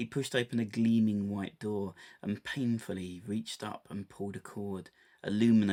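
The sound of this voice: An unforced reading voice, intonation fairly even throughout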